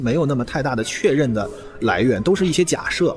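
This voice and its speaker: A man at a very fast pace with very wide pitch swings, over noticeable background noise. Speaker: podcast host, science communicator. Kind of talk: solo podcast monologue. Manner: casual, conversational.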